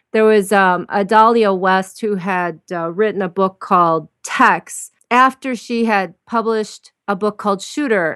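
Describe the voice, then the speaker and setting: A woman with a plain, everyday voice speaks at a medium pitch and fairly slow pace with ordinary pitch variation and hardly any pauses, in a very clean recording with a silent background. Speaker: podcast co-host interviewer. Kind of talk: interview.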